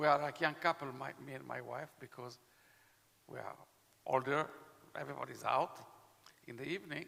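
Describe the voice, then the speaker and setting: A man's fairly high, bright, sharp voice with vocal fry, at a moderate pace. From Israel. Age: 70s. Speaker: vaccine expert panelist. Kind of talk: panel discussion.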